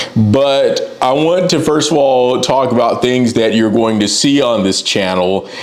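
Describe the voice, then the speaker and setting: A man speaks at a moderate pace, his pitch swinging very widely. Noticeable background noise runs underneath. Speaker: freelance graphic designer. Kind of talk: casual talk to camera.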